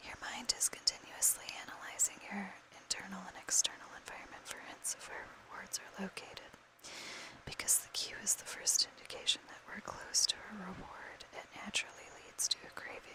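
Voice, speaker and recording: A woman is whispering with big swings in loudness over noticeable background noise. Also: fairly quick pace. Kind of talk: whispered book reading for ASMR. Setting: recorded with a fan running in the background.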